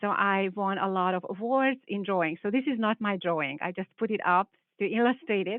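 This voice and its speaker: Speaking at a moderate pace with a Hungarian accent, a woman uses a medium pitch and ordinary pitch variation. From Hungary. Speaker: biology professor. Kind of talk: panel presentation.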